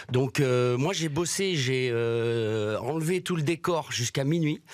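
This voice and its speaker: With a Brussels accent, a man speaks at a fairly high pitch and a very slow pace, with ordinary pitch variation and very even loudness. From Belgium, Brussels. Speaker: comedian. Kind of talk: stand-up.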